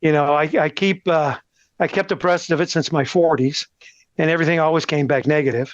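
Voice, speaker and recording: Against a quiet background, a man with an unremarkable speaking voice talks at a fairly high pitch, his intonation fairly even and his loudness very even, in a dry, close sound with no echo. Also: fairly quick pace. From Texas, El Paso. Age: 60s. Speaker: cancer patient. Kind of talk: interview.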